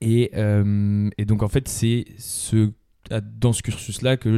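A man speaks at a fairly low pitch with a dark, mellow tone and flat, monotone intonation, in a very clean recording with a silent background. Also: dry, close sound with no echo. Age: 20s. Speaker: business school student and amateur sailor. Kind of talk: interview. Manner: halting, many fillers.

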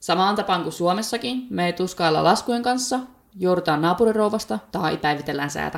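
With lively intonation, a woman speaks at a moderate pace and a medium pitch. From Finland, Päijät-Häme. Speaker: podcast host. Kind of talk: solo podcast monologue. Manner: chatty.

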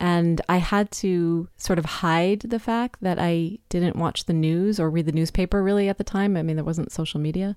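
A woman with an unremarkable speaking voice talks at a moderate pace and fairly low pitch, with hardly any pauses, fairly even intonation and very even loudness, on a very clean recording with a silent background. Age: 50s. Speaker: podcast host. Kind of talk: casual monologue. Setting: recording in a closet.

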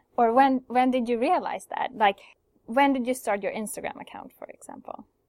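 The recording is very clean, with a silent background and a dry, close sound without echo. A woman speaks with a Swedish accent. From Sweden. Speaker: podcast host. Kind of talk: interview. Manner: halting.

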